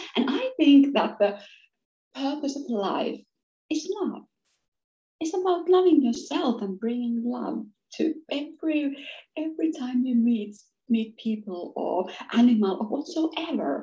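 A woman with a Finnish accent speaks at a fairly slow pace, leaving long, frequent pauses. Her voice is high-pitched with a dark, mellow tone and lively intonation. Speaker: business coach. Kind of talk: interview conversation. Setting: video call. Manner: hesitant with repeated words.

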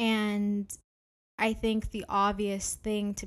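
The speaker is a woman. She has a Canadian accent. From Canada, Ontario. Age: 20s. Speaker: podcast host and graduate student. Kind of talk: solo podcast monologue.

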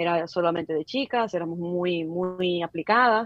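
With an ordinary speaking voice, a woman talks at a moderate pace in a fairly low pitch with ordinary pitch variation. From Dominican Republic, Santo Domingo (Villa Mella). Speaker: digital advertising specialist. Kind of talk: interview conversation. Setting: call.

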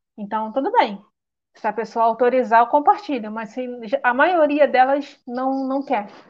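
A woman with a Rio de Janeiro accent speaks at a fairly slow pace in a high pitch. Her intonation is lively, and her loudness swings a lot. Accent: carioca. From Rio de Janeiro state, Nova Iguaçu. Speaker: illustrator. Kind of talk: interview on a live stream.

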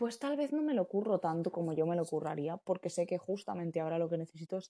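This woman's voice lies fairly low in pitch. The tone comes across dark and mellow. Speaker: podcast host. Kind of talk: casual monologue. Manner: fast, rambling.

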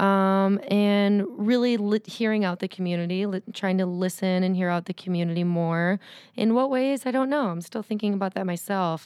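An ordinary speaking voice from a woman at a medium pitch with ordinary pitch variation, on a very clean recording with a silent background. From Windsor, Ontario, Canada. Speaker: yoga teacher. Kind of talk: casual interview chat.

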